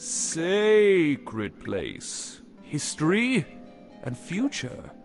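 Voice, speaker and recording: A put-on character voice at a very slow pace, with clear music in the background. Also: man, high pitch for a man. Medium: game stream. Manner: terse, broken speech.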